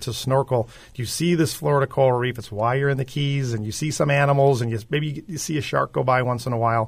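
At a very fast pace with hardly any pauses, a man of medium pitch speaks with an American accent, somewhat breathy and with fairly even intonation. The recording is very clean, with a silent background. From Chicago. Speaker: aquarium executive. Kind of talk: radio interview.

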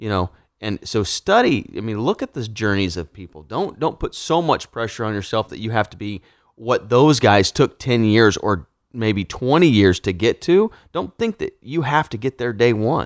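On a very clean recording with a silent background and a dry, close sound with no echo, a man with an American accent uses a normal speaking voice at a medium pitch, moderate pace and lively intonation. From Kansas, Wichita area. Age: 40s. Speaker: entrepreneur and real estate developer. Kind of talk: interview conversation.

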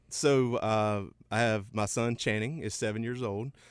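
A man with a western North Carolina accent and a fairly low pitch speaks at a moderate pace with fairly even intonation on a very clean recording with a silent background. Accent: US South, western North Carolina. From western North Carolina, Rutherford County. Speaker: insurance company president. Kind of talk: interview. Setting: radio studio.

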